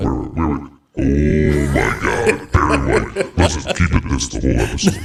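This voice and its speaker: Using a put-on character voice, a man pitches himself very deep and low while keeping a moderate pace. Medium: game stream.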